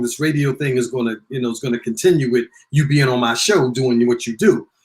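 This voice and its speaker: A somewhat breathy man speaks at a fairly quick pace with ordinary pitch variation. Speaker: radio personality, recording artist and author. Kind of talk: interview. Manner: sometimes very fast, stumbles over words.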